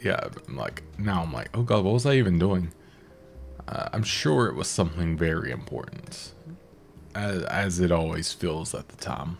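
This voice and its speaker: Over music in the background, a man with a very deep, low pitch talks at a moderate pace using lively intonation. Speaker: gaming YouTuber. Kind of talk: let's play commentary. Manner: filler words and hesitations.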